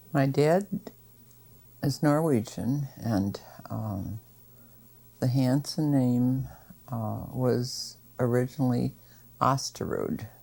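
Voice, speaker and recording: The voice has a dark, mellow tone and an American accent. Intonation stays fairly even on a very clean recording with a silent background. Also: woman. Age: 70s. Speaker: oral history interviewee. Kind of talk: oral history interview. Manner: hesitant, many fillers.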